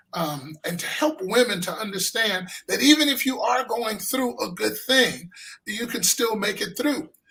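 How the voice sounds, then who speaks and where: Speaking in a raised, projected voice with an American accent, a man goes at a fairly slow pace, his pitch high and his intonation lively. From US West Coast, Los Angeles. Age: 60s. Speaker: filmmaker and pastor. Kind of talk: interview.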